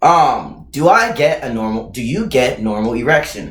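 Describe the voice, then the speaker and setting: A man speaks loudly in an animated tone, his pitch swinging very widely. Room echo is audible. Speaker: YouTuber answering viewer questions. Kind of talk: casual Q&A vlog.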